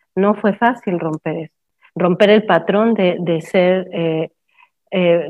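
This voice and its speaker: A woman in an ordinary speaking voice, medium in pitch, at a fairly slow pace with fairly even intonation. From Mexico. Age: 50s. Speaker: permaculture educator and discussion host. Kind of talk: live online talk. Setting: live stream with Zoom participants.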